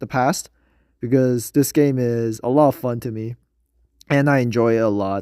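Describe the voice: At a moderate pace and medium pitch, a man speaks with a clear, smooth yet dark, mellow and nasal tone and fairly even intonation, on a very clean recording with a silent background.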